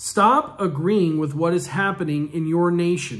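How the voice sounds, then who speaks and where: A man's high-pitched voice at a fairly slow pace over a quiet background. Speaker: minister. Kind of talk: fervent prophetic prayer and decree. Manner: commanding, declarative exhortation; forceful, authoritative proclamation. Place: home room. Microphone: phone near.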